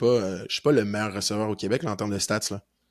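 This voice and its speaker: Speaking fairly quickly in a normal speaking voice, a man with a fairly low pitch is heard in a very clean recording with a silent background. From Quebec, North Shore of Montreal. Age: 20s. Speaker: university football player. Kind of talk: podcast interview.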